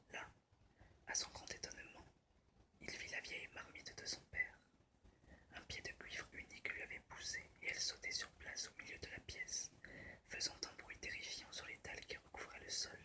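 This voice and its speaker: A whisper at a moderate pace, interrupted by long, frequent pauses. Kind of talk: storybook reading, ASMR. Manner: whispered, soft, relaxing.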